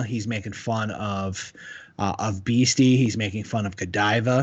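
With fairly even intonation and medium pitch, a man talks in a plain, everyday voice. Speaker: podcast co-host, school teacher. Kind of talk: casual comedic banter podcast.

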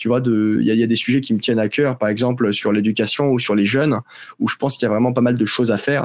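A man's very fast delivery at medium pitch, with fairly even intonation and very even loudness. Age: 20s. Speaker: agency co-founder and CEO. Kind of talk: interview.

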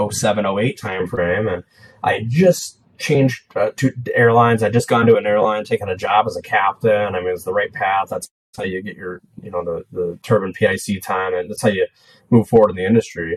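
In an American accent, a man speaks at a moderate pace with a fairly low pitch, ordinary pitch variation and big swings in loudness, the sound dry and close with no echo. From California. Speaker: real estate entrepreneur. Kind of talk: interview. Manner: halting.

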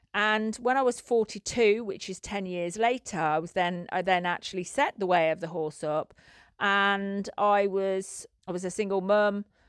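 A plain, everyday voice from a woman at medium pitch, ordinary pitch variation and a moderate pace, on a very clean recording with a silent background and a dry, close sound with no echo. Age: 50s. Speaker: podcast host and equine facilitated learning coach. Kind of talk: personal storytelling monologue. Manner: repetitive, with frequent false starts.

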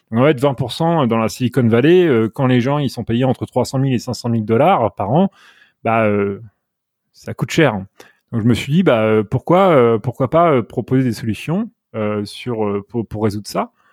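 The recording is very clean, with a silent background and a dry, close sound with no echo. A man speaks at a fairly slow pace in a medium-pitched voice with ordinary pitch variation. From France, Normandy. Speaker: software engineer. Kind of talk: interview. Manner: halting, many repetitions.

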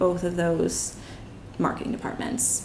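A woman speaks with a Philadelphia accent. Room echo is audible. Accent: Philadelphia-area American. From Bucks County, Pennsylvania, near Philadelphia. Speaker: marketing strategist. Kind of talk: interview. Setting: in an apartment.

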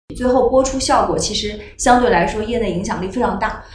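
A woman talks at a moderate pace with a fairly high pitch. There is noticeable background noise. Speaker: TV producer and executive. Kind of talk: panel discussion.

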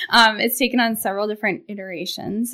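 Bright and sharp in tone, a woman's voice keeps a fairly even intonation. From Maine (Portland). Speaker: financial planner. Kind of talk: casual chat.

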